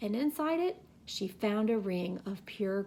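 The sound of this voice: The speaker reads in an unforced reading voice with lively intonation.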